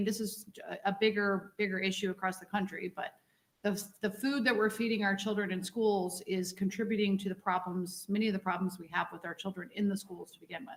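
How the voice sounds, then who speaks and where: A woman's fairly quick delivery at medium pitch, with fairly even intonation and big swings in loudness. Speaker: school board member. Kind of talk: public meeting discussion.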